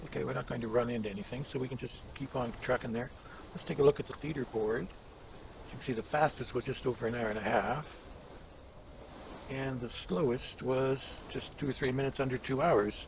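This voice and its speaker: A man's relaxed, medium-pitched voice at a fairly quick pace, with fairly even intonation over noticeable background noise. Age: 70s. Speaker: gaming YouTuber. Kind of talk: gameplay commentary. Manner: relaxed, conversational.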